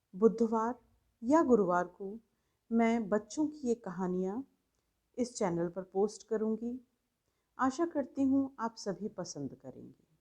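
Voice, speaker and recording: A woman with a fairly high pitch and a dark, mellow tone speaks with lively intonation, big swings in loudness, and long, frequent pauses. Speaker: voice-over artist. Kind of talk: channel introduction to listeners.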